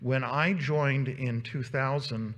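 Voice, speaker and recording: Some breathiness colors this man's voice, which has ordinary pitch variation and audible room echo around it. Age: 60s. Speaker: volunteer organization leader giving a presentation. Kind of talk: conference presentation. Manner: halting, many fillers.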